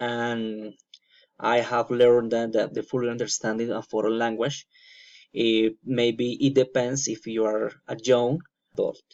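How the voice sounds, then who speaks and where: At a fairly slow pace, a man with a Colombian accent speaks at a medium pitch in a monotone, flat intonation. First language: Spanish. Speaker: student. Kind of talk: class presentation. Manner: halting, many fillers.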